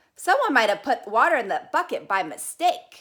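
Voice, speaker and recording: A woman performs a put-on character voice, high-pitched and raised in projection. Her pitch swings very widely. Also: moderate pace. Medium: read story. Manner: polite, earnest.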